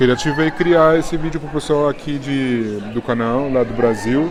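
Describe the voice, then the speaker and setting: Through noticeable background noise and audible room echo, a man speaks at a moderate pace and a fairly high pitch with fairly even intonation. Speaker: YouTuber, actor. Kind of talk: interview.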